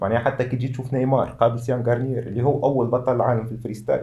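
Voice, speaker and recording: Dark, mellow, somewhat breathy tones from a male speaker. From Tunisia. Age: 20s. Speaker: freestyle football athlete; guest. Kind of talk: interview. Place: studio.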